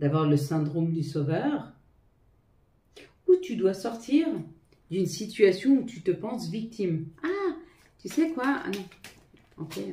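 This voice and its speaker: A woman's dark, mellow, somewhat breathy voice at a very slow pace, with very wide pitch swings, big swings in loudness and long, frequent pauses. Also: medium pitch for a woman. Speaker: tarot reader. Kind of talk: tarot reading to viewers. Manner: halting, stumbling.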